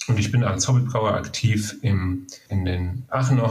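A man's somewhat breathy voice at a fairly low pitch. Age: 40s. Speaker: biochemist and homebrewer, beer judge. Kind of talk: interview.

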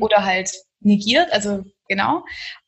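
A woman talks with a fairly high pitch. There is some breathiness in her voice. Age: 20s. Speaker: yoga teacher. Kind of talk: interview conversation.

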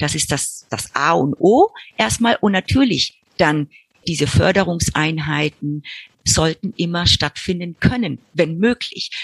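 A woman talks at a very slow pace in a fairly low pitch with lively intonation. The sound is dry and close, with no echo. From Argentina. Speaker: preschool director and educator. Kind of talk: interview.

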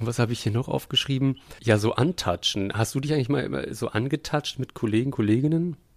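In an unremarkable speaking voice at medium pitch, a man talks at a fairly quick pace with ordinary pitch variation, on a very clean recording with a silent background. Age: 30s. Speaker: puppeteer and podcast co-host. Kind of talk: casual chat.

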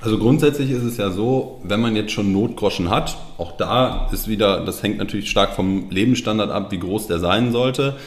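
The speech has hardly any pauses. Audible room echo is present. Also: man, fairly low pitch for a man, ordinary pitch variation, moderate pace. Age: 30s. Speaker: financial planner. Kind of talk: interview.

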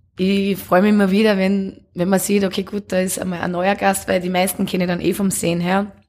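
The speaker is a woman. Her pitch is medium. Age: 30s. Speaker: café and bar owner. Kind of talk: casual interview.

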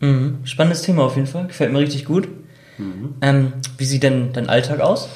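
Somewhat breathy and fairly high-pitched, a man speaks at a moderate pace with ordinary pitch variation. Audible room echo surrounds his voice. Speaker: intern interviewer. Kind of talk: interview.

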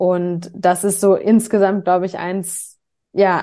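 Against a quiet background, a woman speaks very slowly at a medium pitch in a dark, mellow tone with monotone, flat intonation. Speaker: nonprofit staff member. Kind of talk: interview. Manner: hesitant, many fillers.

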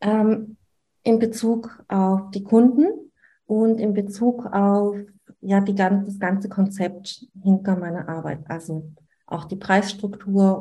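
At a very slow pace, a woman speaks in a somewhat breathy voice of medium pitch with fairly even intonation. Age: 30s. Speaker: newborn photographer and coach. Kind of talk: interview. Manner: hesitant, filler-heavy.

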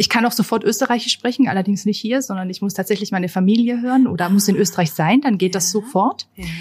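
Hardly any pauses break up the woman's very fast talking. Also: medium pitch for a woman, ordinary pitch variation. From Austria, near Linz. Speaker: tourism marketing manager. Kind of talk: casual interview. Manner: hesitant with many fillers.

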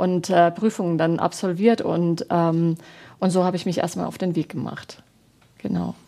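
A woman speaks at a moderate pace in a dark, mellow tone with a fairly low pitch and fairly even intonation. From Baden, southwest Germany. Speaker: parish pastoral worker and former actress. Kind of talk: interview. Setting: TV studio. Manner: hesitant, frequent fillers.

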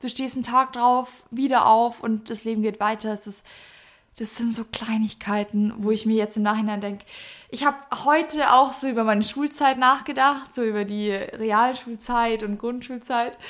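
With a Bavarian accent, a woman speaks at a fairly high pitch and a moderate pace, keeping her intonation fairly even. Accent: Bavarian, pronounces sharp S. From Bavaria, Germany. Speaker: podcast co-host. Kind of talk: casual chat. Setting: sitting on the floor at home.

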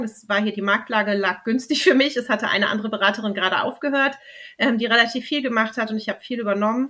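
A woman's fairly high, bright, sharp voice at a very fast pace. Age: 30s. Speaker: babywearing consultant. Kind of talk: interview.

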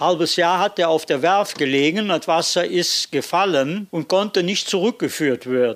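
At a moderate pace and with hardly any pauses, a man speaks in a high voice with ordinary pitch variation and very even loudness. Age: 80s+. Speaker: museum tour guide, fishing brotherhood member. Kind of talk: guided tour.

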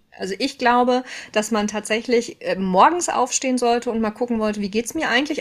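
A woman's high-pitched voice at a moderate pace. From Ruhr area, Germany. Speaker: mental load expert and trainer. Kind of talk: casual interview chat.

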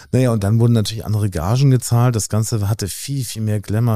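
A man speaks with a dark, mellow tone at a fairly low pitch. His intonation is fairly even, and the recording is very clean with a silent background. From Hamburg, Germany. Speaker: model agency owner. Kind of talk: interview.

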